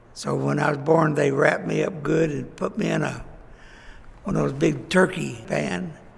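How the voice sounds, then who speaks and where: A man talks at a moderate pace in a Texan accent. There is audible room echo and noticeable background noise. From Texas, Fort Worth. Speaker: local elder recounting life history. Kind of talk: oral history interview. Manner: halting.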